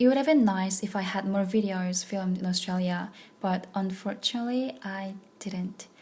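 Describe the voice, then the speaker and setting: A woman speaks at a moderate pace with medium pitch, ordinary pitch variation, and a somewhat breathy quality. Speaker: vlogger. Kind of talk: personal vlog monologue.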